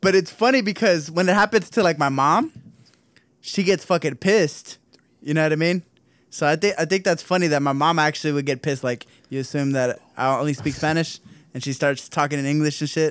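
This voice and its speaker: With an American accent, a man speaks in a normal speaking voice, fairly high in pitch, with ordinary pitch variation at a fairly quick pace on a very clean recording with a silent background. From Southern California. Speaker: podcast co-host. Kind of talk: casual chat.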